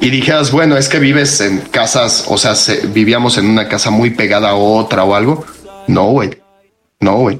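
A man's medium-pitched voice with a Mexican accent, ordinary pitch variation, a moderate pace and very even loudness. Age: 30s. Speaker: podcast co-host. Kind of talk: casual chat.

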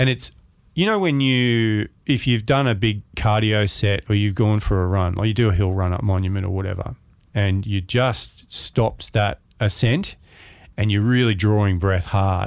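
This voice has an Australian accent, very even loudness and ordinary pitch variation. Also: man, fairly low pitch for a man, moderate pace. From Melbourne, Australia. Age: 50s. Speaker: photographer and author. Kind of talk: interview.

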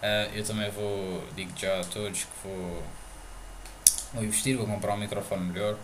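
A man with a European Portuguese accent and monotone, flat intonation, long, frequent pauses, audible room echo and noticeable background noise. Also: fairly low pitch for a man, moderate pace. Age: 20s. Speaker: podcast host. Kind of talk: casual chat. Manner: halting.

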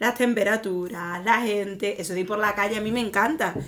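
Amid noticeable background noise, a woman talks fairly quickly at a medium pitch with fairly even intonation. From Extremadura, Spain. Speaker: podcast co-host, improv performer. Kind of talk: improvised comedy chat.

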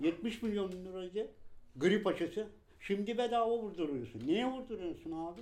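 Speaking at a moderate pace, a man uses lively intonation and a high pitch. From Turkey, Balıkesir (Gönen). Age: 50s. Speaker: shoemaker. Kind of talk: interview testimony.

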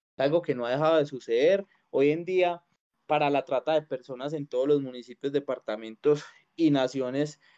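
A dark, mellow tone with fairly even intonation, at a moderate pace, the sound dry and close with no echo. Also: man, fairly high pitch for a man. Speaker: podcast host. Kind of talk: casual chat.

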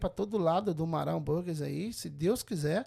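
The recording is very clean, with a silent background. A man talks fairly slowly with ordinary pitch variation. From Brazil, Governador Valadares, Minas Gerais. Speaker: restaurant business owner. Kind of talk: casual interview. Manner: halting.

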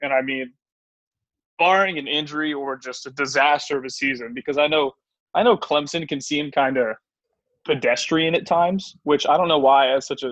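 A man speaks at a fairly quick pace with fairly high pitch and fairly even intonation in a plain, everyday voice. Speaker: podcast host. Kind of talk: casual sports chat.

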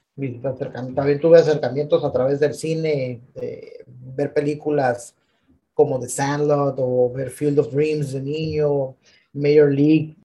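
Speaking very slowly, a man has a fairly high, somewhat breathy voice with a dark, mellow tone. His intonation is monotone and flat. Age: 30s. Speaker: podcast co-host. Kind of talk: casual chat. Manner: halting.

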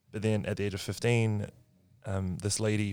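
On a very clean recording with a silent background, a man with a New Zealand accent speaks at a fairly low pitch in a monotone, flat intonation. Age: 20s. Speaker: marketing worker. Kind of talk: casual chat.

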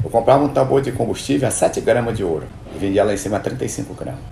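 A man rattles along at a very fast pace amid noticeable background noise. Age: 60s. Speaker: boat builder and river transport entrepreneur. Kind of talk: interview. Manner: halting, repeats words.

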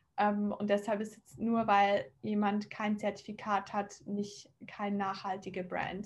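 Somewhat breathy, a woman of medium pitch speaks in a monotone, flat intonation. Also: hardly any pauses, big swings in loudness. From Switzerland, near Zurich. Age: 20s. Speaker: fashion startup founder. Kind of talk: interview.

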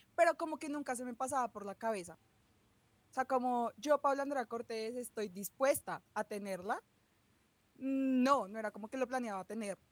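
A woman's high voice with a Bogotá accent, ordinary pitch variation and a moderate pace, in a dry, close sound with no echo. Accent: Bogotá Colombian. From Bogotá, Colombia. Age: 20s. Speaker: chemistry student. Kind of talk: casual chat.

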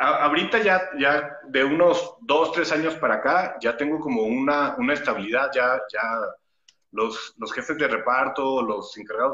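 Speaking at a fairly slow pace, a man uses a plain, everyday voice with fairly high pitch and lively intonation. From Torreón, northern Mexico (La Laguna). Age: 30s. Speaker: stunt actor. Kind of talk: interview.

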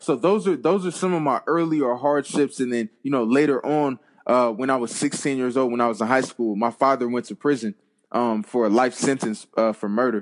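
A man's plain, everyday voice at a medium pitch, with ordinary pitch variation, a moderate pace, and a dry, close sound with no echo. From US West Coast (Compton, Los Angeles). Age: 20s. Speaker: former college football player and author. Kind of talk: interview.

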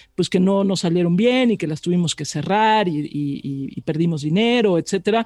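Her tone dark and mellow, a woman talks at a fairly quick pace with lively intonation in a dry, close sound with no echo. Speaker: radio journalist and news anchor. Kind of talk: interview conversation.

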